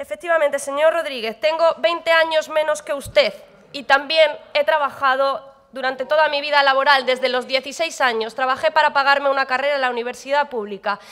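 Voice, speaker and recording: A woman speaks in a high pitch at a fairly quick pace. Her tone is animated, and the background is quiet. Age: young. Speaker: regional parliament member. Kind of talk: parliamentary debate speech. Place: hall. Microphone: podium.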